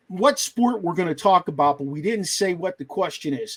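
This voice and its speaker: A man speaks with a slight Pittsburgh accent. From western Pennsylvania, Pittsburgh area. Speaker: sports podcast host. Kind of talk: casual chat. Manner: animated.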